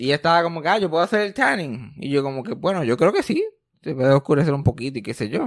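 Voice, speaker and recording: At a very fast pace, a man with a fairly high pitch speaks in an animated tone with lively intonation. The sound is dry and close, with no echo. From Puerto Rico. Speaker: podcast host. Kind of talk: casual chat.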